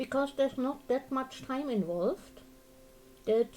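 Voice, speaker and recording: A woman speaks with a dark, mellow tone and a German accent. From Germany. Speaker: crafting streamer. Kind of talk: casual livestream chat. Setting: live stream.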